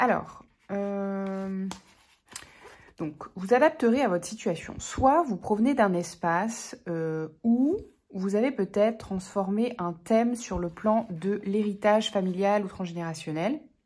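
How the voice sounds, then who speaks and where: In a very clean recording with a silent background, a woman speaks very slowly at a medium pitch. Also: ordinary pitch variation. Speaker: tarot reader. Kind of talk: tarot reading monologue. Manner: hesitant, many fillers.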